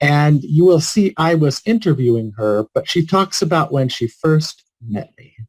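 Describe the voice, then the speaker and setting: A man with an unremarkable speaking voice talks fairly slowly, fairly high in pitch, with hardly any pauses. His intonation is lively and his loudness swings widely. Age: 60s. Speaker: palliative care physician. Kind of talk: keynote speech.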